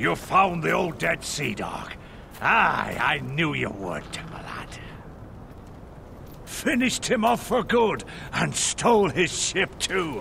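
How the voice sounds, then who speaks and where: A man speaks in a put-on character voice at a fairly slow pace, with long, frequent pauses. Clear background noise is present. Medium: video game. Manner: salty pirate talk.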